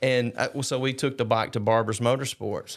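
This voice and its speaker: A man with an Alabama accent on a very clean recording with a silent background. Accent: US Southern (Alabama). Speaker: charity founder and long-distance rider. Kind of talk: casual chat.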